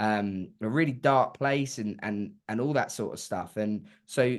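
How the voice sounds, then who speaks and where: A man with an English accent, medium pitch, ordinary pitch variation and a fairly slow pace. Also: quiet background. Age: young. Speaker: singer-songwriter. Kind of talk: interview answer.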